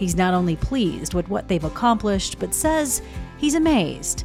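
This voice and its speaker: A woman at a moderate pace, with music in the background. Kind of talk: TV news feature narration.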